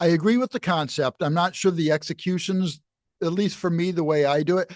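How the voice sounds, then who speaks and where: A man's high-pitched voice at a fairly quick pace, ordinary pitch variation and very even loudness, dry and close with no echo over a quiet background. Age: 60s. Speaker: university jazz professor and musician. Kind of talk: casual interview chat.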